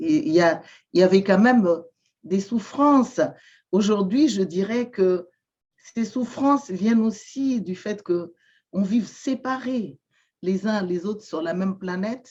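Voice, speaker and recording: Pausing long and often, a woman speaks at medium pitch with lively intonation and a somewhat breathy voice. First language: Malagasy (speaking French). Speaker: shaman and therapist. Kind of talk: interview testimony. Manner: halting, many hesitations and repetitions.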